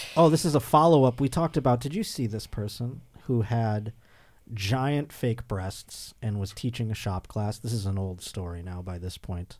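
On a very clean recording with a silent background, a man with medium pitch speaks at a moderate pace with lively intonation in an ordinary speaking voice. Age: 30s. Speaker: comedian and podcast host. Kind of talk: casual chat.

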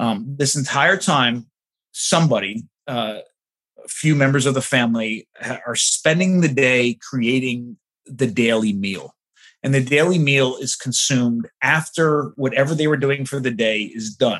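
A man with an American accent, medium pitch, ordinary pitch variation and a fairly slow pace. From New Jersey, New York City suburbs. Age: 40s. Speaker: anthropologist. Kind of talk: interview conversation. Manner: halting with many fillers.

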